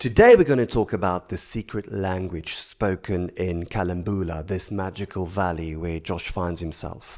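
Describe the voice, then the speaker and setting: On a very clean recording with a silent background, a man with a very deep, low voice and a South African accent speaks at a moderate pace with fairly even intonation and hardly any pauses. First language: Afrikaans. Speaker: author. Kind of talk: explainer talk.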